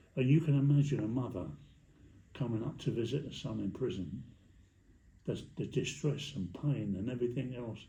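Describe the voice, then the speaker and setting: With vocal fry and a dark, mellow tone, a man speaks at medium pitch, leaving long, frequent pauses, amid audible room echo. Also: ordinary pitch variation, moderate pace. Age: 80s+. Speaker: former prisoner. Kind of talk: casual chat.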